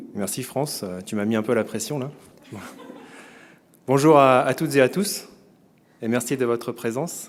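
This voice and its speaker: Speaking at a fairly quick pace with long, frequent pauses, a man uses a medium pitch and ordinary pitch variation. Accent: French. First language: French. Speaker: event presenter introducing a speaker. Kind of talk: formal introduction of a guest speaker. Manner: hesitant, many filler words.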